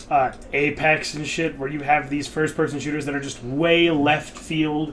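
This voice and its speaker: Monotone, flat intonation from a man with a fairly high pitch at a moderate pace, with noticeable background noise. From rural area. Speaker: podcast co-host. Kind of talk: casual chat. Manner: loud.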